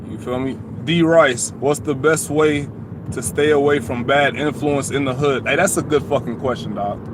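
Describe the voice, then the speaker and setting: A man's fairly high voice with an American accent and fairly even intonation, amid noticeable background noise and audible room echo. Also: moderate pace. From Atlanta, US South. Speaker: YouTuber. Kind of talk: live stream chat. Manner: casual.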